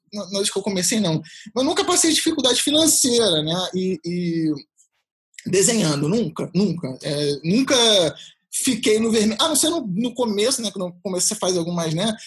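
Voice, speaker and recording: A man with a high voice speaks at a moderate pace. His pitch swings very widely. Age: 30s. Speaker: freelance illustrator. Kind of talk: casual interview chat. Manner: halting, many repetitions.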